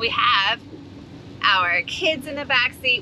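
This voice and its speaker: A woman talks with ordinary pitch variation in a dry recording with no echo, with noticeable background noise. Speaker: family travel vlogger. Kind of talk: casual vlog chat. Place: car. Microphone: phone near.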